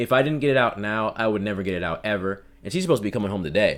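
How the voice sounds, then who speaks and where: Heard in a very clean recording with a silent background, a man speaks with lively intonation. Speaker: aspiring voice actor. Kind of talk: casual vlog monologue. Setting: home recording room. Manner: halting; unprojected.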